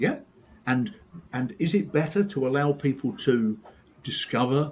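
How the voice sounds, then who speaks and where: A somewhat breathy voice in an English accent, with very wide pitch swings. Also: man. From England. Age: old. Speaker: sport science professor. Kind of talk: casual chat. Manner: animated.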